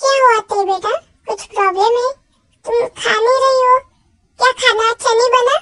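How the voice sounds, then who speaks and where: Using a put-on character voice, a woman speaks at an extremely high, squeaky pitch with fairly even intonation, a moderate pace, long and frequent pauses, and a dry, close sound with no echo. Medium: audio drama. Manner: brisk, outspoken.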